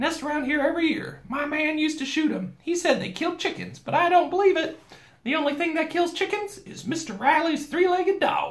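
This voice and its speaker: An extremely high-pitched put-on character voice from a man at a fairly quick clip. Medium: read story. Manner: bossy, chatty, nonstop talker.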